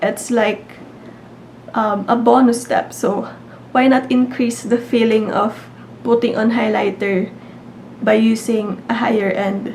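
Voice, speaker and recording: A woman talks at a very slow pace with long, frequent pauses, her fairly high pitch held in a monotone, flat intonation. Noticeable background noise runs underneath. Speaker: beauty YouTuber. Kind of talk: casual talk to camera.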